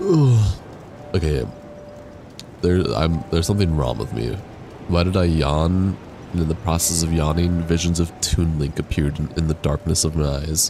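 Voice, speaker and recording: A man's very deep, low voice at a moderate pace, ordinary pitch variation, long, frequent pauses, and noticeable background noise. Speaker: gaming streamer. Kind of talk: casual live-stream chat.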